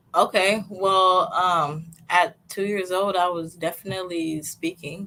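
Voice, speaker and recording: Speaking fairly slowly in a monotone, flat intonation, a woman with a slight East African accent has a medium pitch and a bright, sharp tone. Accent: slight Swahili-tinged. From US Pacific Northwest (Seattle), born in Tanzania. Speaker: fashion designer, podcast guest. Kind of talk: interview conversation. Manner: hesitant with fillers.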